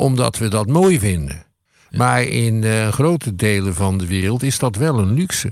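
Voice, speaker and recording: On a very clean recording with a silent background, a man with a fairly low pitch talks at a fairly slow pace, his pitch swinging very widely. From Netherlands. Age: 70s. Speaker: podcast co-host, history commentator. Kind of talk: casual conversation.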